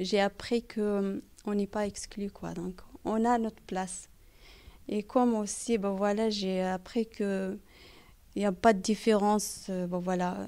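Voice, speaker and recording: Delivered with a non-native accent, the voice is dark and mellow, monotone and flat, at a very slow pace with long, frequent pauses. The recording is very clean, with a silent background. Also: woman, medium pitch for a woman. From outside France. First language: not French (speaking French). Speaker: parent in a community research group. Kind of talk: interview. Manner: halting, many hesitations.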